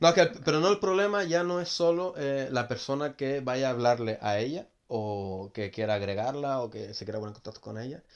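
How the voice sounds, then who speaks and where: Using an ordinary speaking voice, a man talks at a medium pitch with lively intonation. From Gran Canaria. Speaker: hotel worker. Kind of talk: casual chat.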